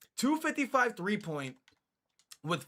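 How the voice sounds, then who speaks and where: A man uses a raised, projected voice with a bright, sharp tone, captured in a very clean recording with a silent background. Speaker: gaming streamer. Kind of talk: casual gameplay talk. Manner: halting, repetitive filler.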